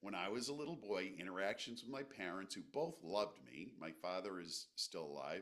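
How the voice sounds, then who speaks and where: An animated man at a fairly low pitch, very wide pitch swings, a moderate pace and hardly any pauses. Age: 60s. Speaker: psychiatric nurse and breathwork practitioner. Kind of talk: podcast interview, personal testimony. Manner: conversational, animated.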